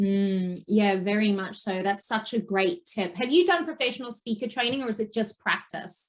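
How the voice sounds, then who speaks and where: Somewhat breathy and fairly high, a woman's voice moves at a moderate pace with lively intonation. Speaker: podcast host. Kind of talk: interview conversation. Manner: says um a lot.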